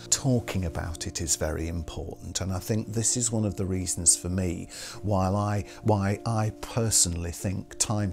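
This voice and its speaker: Over music in the background, a man with a very deep, low pitch speaks at a fairly slow pace. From Hull, England. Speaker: radio presenter and voice artist. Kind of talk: interview answer.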